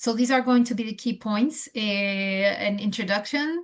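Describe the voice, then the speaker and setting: Somewhat breathy, a woman with a non-native accent speaks at a moderate pace with ordinary pitch variation. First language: not English. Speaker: nurse educator. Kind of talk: lecture. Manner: halting, many fillers.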